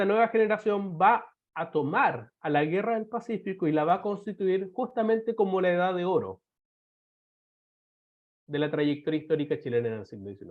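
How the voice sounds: Nasal and high-pitched, this is a man's voice. He sounds notably high for a man. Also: ordinary pitch variation, moderate pace.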